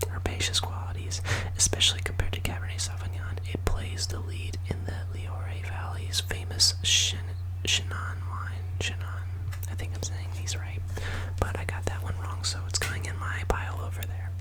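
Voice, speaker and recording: A man whispers in a soft-spoken way at a moderate pace. Noticeable background noise sits behind him. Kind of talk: ASMR trivia reading. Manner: whispered, soft-spoken.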